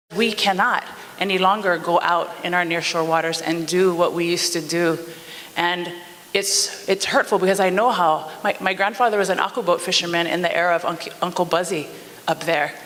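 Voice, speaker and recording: The speaker has a Hawaiian accent and talks at a fairly quick pace. Noticeable background noise runs underneath. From Hawaii, O'ahu (Nanakuli). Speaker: community member giving public testimony. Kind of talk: public testimony. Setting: public meeting.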